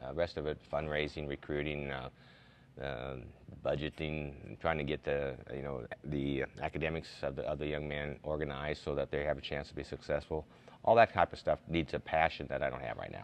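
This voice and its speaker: In a very deep, low voice with vocal fry, a man speaks fairly quickly with monotone, flat intonation. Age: 60s. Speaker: college basketball coach. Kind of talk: TV interview. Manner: halting, many fillers and repeats.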